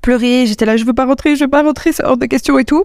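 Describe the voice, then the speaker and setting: A woman with ordinary pitch variation. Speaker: podcast host and travel coach. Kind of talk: casual monologue. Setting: recorded while traveling abroad.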